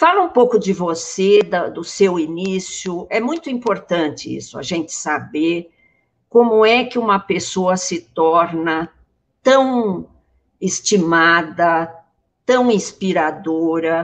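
The pace is very slow as a woman talks. Her voice sits at a medium pitch and varies in an ordinary way. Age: old. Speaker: urban planning professor, guest co-interviewer. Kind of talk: interview.

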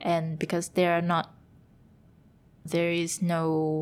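A woman with a Vietnamese accent at a fairly slow pace, very clean recording, silent background. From Vietnam, Hanoi. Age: 20s. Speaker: vegan food entrepreneur. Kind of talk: casual interview. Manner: giggly.

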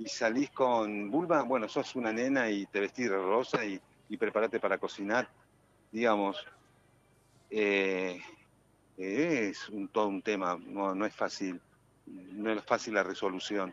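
Pausing long and often, a man talks at a fairly slow pace, his fairly low voice showing ordinary pitch variation. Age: 60s. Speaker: actor. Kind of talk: radio interview. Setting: phone call. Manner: halting.

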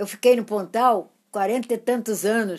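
A woman speaks with a fairly high pitch. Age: 80s+. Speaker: great-grandmother. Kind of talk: casual chat.

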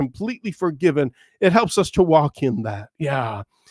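The delivery is fairly slow. Pitch rises and falls over a very wide range. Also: man, dry, close sound with no echo, very clean recording, silent background. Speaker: podcast host and Bible teacher. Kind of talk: Bible teaching monologue.

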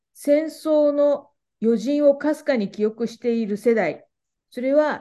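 The speaker is a woman. She has a dark, mellow tone. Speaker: podcast moderator. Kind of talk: interview with scripted narration. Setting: video call.

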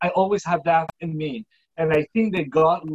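In a Spanish accent, a man speaks fairly slowly at a high pitch with ordinary pitch variation, and the sound is dry and close with no echo. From Puerto Rico. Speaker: filmmaker. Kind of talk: interview. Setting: video call.

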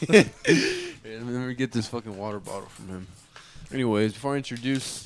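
The pace stays moderate as this man talks. Ordinary variation shapes his pitch. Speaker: podcast host. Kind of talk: casual chat.

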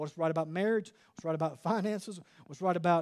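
On a very clean recording with a silent background, a man speaks at a very fast pace in an animated tone with ordinary pitch variation. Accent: Southern US. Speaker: preacher. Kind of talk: fiery sermon to a men's gathering, preacher in full flow with call-and-response. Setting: church event with live audience.

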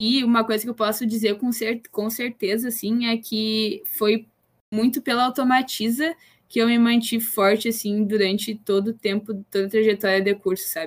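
Here is a woman with a plain, everyday voice. She keeps a moderate pace and fairly even intonation. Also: fairly high pitch for a woman. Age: 20s. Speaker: engineering student, former student company president. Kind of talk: casual chat.

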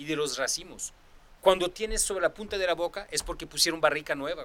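This man speaks in a French accent. His voice is high-pitched, with a bright, sharp tone. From France. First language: French (speaking Spanish). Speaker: sommelier. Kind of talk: casual chat.

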